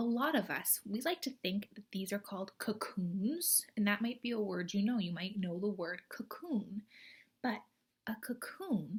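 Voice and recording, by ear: A woman talks at medium pitch with a slightly husky edge. Her intonation is lively and her pace fairly slow.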